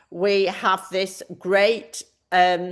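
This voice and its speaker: A woman speaks with an English accent. The background is quiet. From northern England, Manchester. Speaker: math department chair. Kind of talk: online information session presentation.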